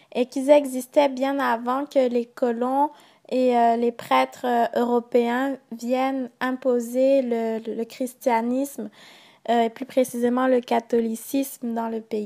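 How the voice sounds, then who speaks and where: A woman's high-pitched, dark and mellow voice at a very slow pace, flat and monotone, on a very clean recording with a silent background. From Gabon. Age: 20s. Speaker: student. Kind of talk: interview answers in mock talk show.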